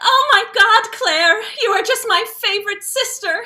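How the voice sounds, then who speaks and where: Squeaky and extremely high-pitched, a woman's put-on character voice moves at a moderate pace with ordinary pitch variation. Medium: stage play. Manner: sugary and condescending.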